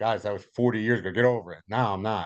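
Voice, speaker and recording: The man talks at a medium pitch with ordinary pitch variation. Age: 60s. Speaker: podcast guest. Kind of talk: casual chat. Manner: animated.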